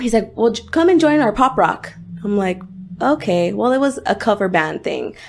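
An unremarkable speaking voice: a woman with an American accent, fairly high pitch, lively intonation and a moderate pace. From La Puente, Los Angeles area. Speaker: singer. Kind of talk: casual interview chat.

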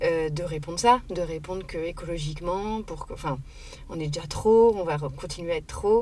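A woman's voice with ordinary pitch variation and noticeable background noise. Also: fairly low pitch for a woman, moderate pace. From Paris. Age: 30s. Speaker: sustainability activist. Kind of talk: casual interview. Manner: hesitant, many fillers.

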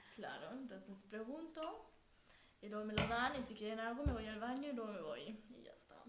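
Audible room echo and noticeable background noise around a moderate-paced voice with ordinary pitch variation and big swings in loudness. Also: woman, fairly high pitch for a woman. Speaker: podcast co-host. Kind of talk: casual chat. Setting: at home.

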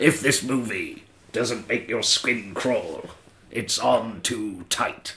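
Using a put-on character voice, a man speaks at a medium pitch and a very slow pace. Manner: dramatic, drawn-out.

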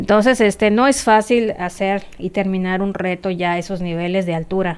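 A woman speaks at a moderate pace in an ordinary speaking voice of medium pitch. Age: 40s. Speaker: amateur cyclist. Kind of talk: interview.

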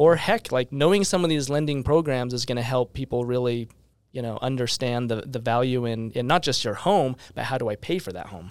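A man with an American accent talks at a fairly quick pace and medium pitch. It is an ordinary speaking voice. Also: ordinary pitch variation. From Utah, West Valley. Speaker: real estate team leader. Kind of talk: casual interview.

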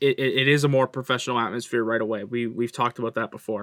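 With a Canadian accent, a man speaks in a normal speaking voice at a fairly quick pace. His pitch is medium, with ordinary variation. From Canada. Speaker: hockey podcast co-host. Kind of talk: casual chat.

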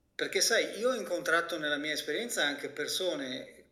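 A man's bright, sharp tone is heard with audible room echo. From Italy. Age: 50s. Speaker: physician and health coach. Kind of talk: interview.

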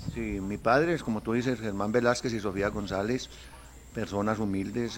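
In an unremarkable speaking voice, a man talks at a moderate pace with ordinary pitch variation. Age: 60s. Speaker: football club president. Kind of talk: interview.

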